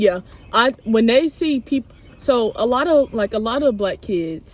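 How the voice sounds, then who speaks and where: This woman has a plain, everyday voice with an American accent and a fairly high pitch. She speaks at a moderate pace with lively intonation. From St. Louis, Missouri, US. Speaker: podcast host. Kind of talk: casual chat.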